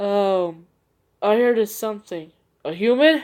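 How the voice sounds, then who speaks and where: A woman puts on a character voice at a medium pitch, with lively intonation. She speaks at a fairly slow pace in a very clean recording with a silent background. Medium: read story.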